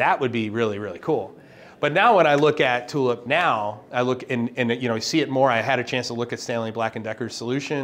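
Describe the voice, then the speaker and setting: A man speaks at a fairly quick pace. Light background noise can be heard. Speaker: industry tech video host. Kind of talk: casual interview on a site tour. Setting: on location at a company office. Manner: animated. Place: meeting room. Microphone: lapel.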